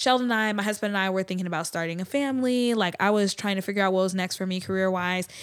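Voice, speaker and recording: With an American accent, a woman has an unremarkable speaking voice of medium pitch and fairly even intonation, on a very clean recording with a silent background. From US South. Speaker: business owner and community leader. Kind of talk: casual interview chat.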